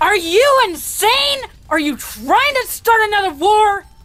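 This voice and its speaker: Pitched extremely high, a female-sounding cartoonish character voice comes through. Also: fairly slow pace. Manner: loud, aggressive, brash.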